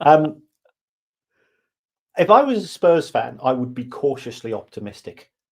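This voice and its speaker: A man with a fairly high pitch and lively intonation. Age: 60s. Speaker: football finance expert and podcaster. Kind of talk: podcast interview.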